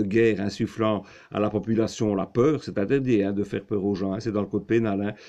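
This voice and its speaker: A man's dark, mellow voice, fairly low in pitch and monotone, flat in intonation, at a fairly quick pace over a quiet background. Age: 60s. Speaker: political commentary vlogger. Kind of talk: video monologue. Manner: halting, many fillers.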